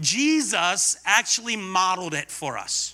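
A man's raised, projected voice has an animated tone, with noticeable background noise behind it. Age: 50s. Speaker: guest preacher. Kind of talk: sermon. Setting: church.

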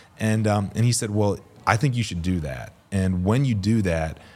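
A man speaks with an American accent at a fairly low pitch. He has an ordinary speaking voice with ordinary pitch variation. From US South. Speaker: physician scientist. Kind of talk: casual interview.

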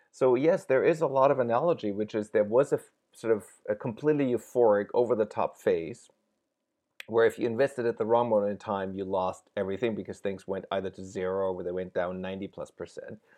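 At a very fast pace, a man with a medium pitch speaks with ordinary pitch variation and big swings in loudness. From Germany. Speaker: venture capitalist. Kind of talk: interview. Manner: halting, many fillers.

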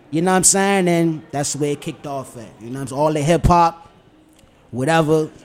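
A man with an American accent and a normal speaking voice talks at a fairly quick pace with ordinary pitch variation. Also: fairly high pitch for a man. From Washington DC, south side. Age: 20s. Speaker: musician. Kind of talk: casual chat.

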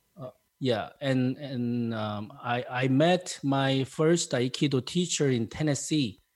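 Speaking very slowly with a Korean accent, a man with a medium pitch is heard on a very clean recording with a silent background. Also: ordinary pitch variation. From South Korea. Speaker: podiatrist and podcast host. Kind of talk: interview conversation. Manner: friendly, enthusiastic; hesitant, filler-heavy.

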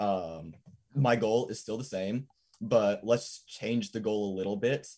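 A man's fairly low-pitched, dark and mellow voice with fairly even intonation, in a very clean recording with a silent background. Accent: American. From US Midwest, Missouri. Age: young. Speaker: caller, runner. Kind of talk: casual chat.

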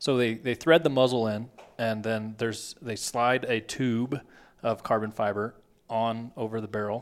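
In an American accent, an ordinary speaking voice moves at a moderate pace on a very clean recording with a silent background. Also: man, medium pitch for a man, fairly even intonation. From Texas. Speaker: firearms company sales executive. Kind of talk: casual chat.

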